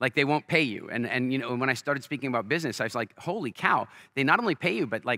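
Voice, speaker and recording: In an American accent, a man talks at a very fast pace with an animated, bright, sharp tone, in a dry, close sound with no echo on a very clean recording with a silent background. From Canada. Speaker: entrepreneur and business speaker. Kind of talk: stage interview with storytelling. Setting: stage with live audience.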